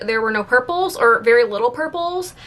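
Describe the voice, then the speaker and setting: Over noticeable background noise, a woman with a high voice talks at a very fast pace with lively intonation. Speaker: beauty youtuber. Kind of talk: casual product review vlog.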